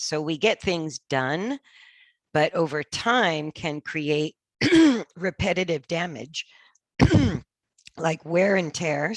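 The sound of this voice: A woman puts on a raspy, hoarse character voice at a fairly low pitch. She speaks very slowly, with long, frequent pauses.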